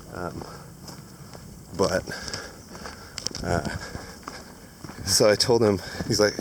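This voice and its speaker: Over noticeable background noise, a man with a fairly low pitch speaks with long, frequent pauses. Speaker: long-distance hiker video blogger. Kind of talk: casual vlog monologue. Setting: outdoors on a hiking trail. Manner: rambling with many fillers.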